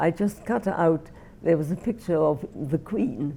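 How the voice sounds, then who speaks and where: Speaking at a fairly slow pace with a Welsh accent, a woman has a dark, mellow tone and ordinary pitch variation. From Wales, Merthyr Tydfil. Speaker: Holocaust refugee interviewee. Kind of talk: oral history interview. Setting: filmed interview.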